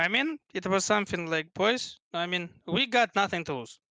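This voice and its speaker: Speaking at a fairly slow pace, a man with a Russian accent has a high, bright and sharp voice with lively intonation. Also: dry, close sound with no echo, quiet background. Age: 20s. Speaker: esports player. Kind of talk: interview. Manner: halting.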